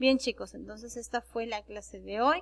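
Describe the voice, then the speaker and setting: A woman's voice at a fairly slow pace. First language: Quechua (speaking Spanish). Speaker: secondary school teacher. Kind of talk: online class lecture. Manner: halting, with fillers and self-corrections.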